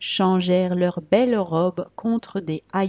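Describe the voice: The clip is plain reading aloud. Nothing more stands out.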